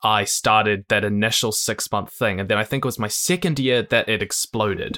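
On a very clean recording with a silent background and a dry, close sound without echo, a man with a New Zealand accent speaks in a bright, sharp tone with ordinary pitch variation. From New Zealand, Christchurch. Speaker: YouTuber, educational content creator. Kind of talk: interview.

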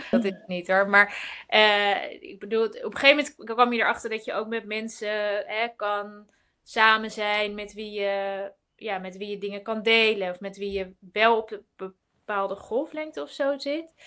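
This woman has a fairly high pitch and a bright, sharp tone. Her loudness swings widely, while her pitch varies in an ordinary way. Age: 30s. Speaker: entrepreneur and writer. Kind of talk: casual live webinar chat. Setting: video call webinar.

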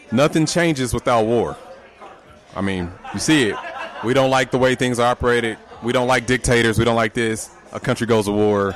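A man with a medium-pitched voice speaks in an animated tone at a fairly quick pace, with ordinary pitch variation. He leaves long, frequent pauses, and there is noticeable background noise. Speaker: podcast host. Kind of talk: casual live podcast banter with crowd hype. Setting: live show with audience in a loud venue. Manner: animated, loud, hype-man energy.

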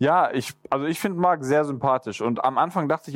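A man talks at a moderate pace with ordinary pitch variation in an ordinary speaking voice, the sound dry and close with no echo. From Swabia, southern Germany. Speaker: podcast co-host, former winner of the show. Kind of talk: casual chat.

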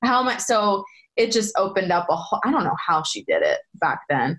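With an American accent, a woman speaks in an unremarkable speaking voice. Her intonation is lively and her pace moderate. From Pennsylvania, Bucks County near Philadelphia. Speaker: former soap opera actress. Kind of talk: casual interview chat.

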